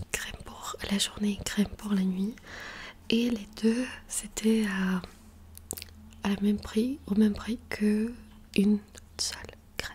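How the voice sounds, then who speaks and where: A soft-spoken woman talks at a fairly high pitch and a very slow pace with monotone, flat intonation and long, frequent pauses, over light background noise. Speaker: ASMR youtuber. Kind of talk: ASMR skincare tutorial. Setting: bedroom near the street. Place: home room. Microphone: studio mic.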